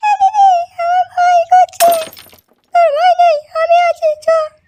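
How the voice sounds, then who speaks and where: Dry, close sound with no echo carries a woman's cartoonish character voice at an extremely high pitch. She keeps a moderate pace and fairly even intonation. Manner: scared and defiant.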